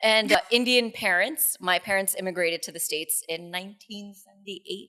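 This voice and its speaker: A woman with a New York accent at a fairly quick pace, medium in pitch, with ordinary pitch variation and big swings in loudness. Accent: New York American. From New York City, US. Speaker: radio co-host. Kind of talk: podcast interview.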